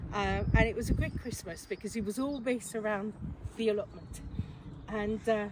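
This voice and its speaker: In a French accent, a woman talks at a moderate pace. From France. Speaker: allotment vlogger. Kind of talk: casual vlog chat. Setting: outdoors.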